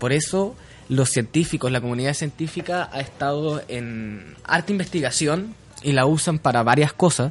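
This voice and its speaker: Somewhat breathy, a man with a Chilean accent speaks at a fairly high pitch. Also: ordinary pitch variation, moderate pace. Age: 20s. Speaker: radio host. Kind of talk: casual chat.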